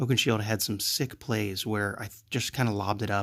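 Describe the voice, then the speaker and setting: On a very clean recording with a silent background, a soft-spoken man talks at a fairly low pitch and a fairly quick pace. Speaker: gaming video creator. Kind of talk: gameplay commentary. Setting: at home late at night. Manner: halting.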